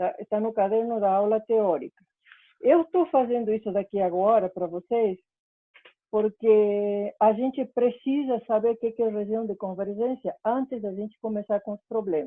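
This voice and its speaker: The delivery is at an average speed, with pitch moving in a normal way. It is an unremarkable speaking voice. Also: woman, fairly high pitch for a woman. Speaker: university lecturer. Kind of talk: lecture. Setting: online class.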